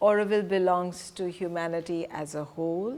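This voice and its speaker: A woman speaks with an Indian accent. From Punjab, India. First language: Hindi. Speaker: presenter on spiritual community. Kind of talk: lecture.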